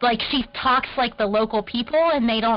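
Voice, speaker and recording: Over noticeable background noise, the speech moves at a moderate pace, its pitch varying in an ordinary way. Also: woman. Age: young. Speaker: water aid worker. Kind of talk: casual chat. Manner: animated.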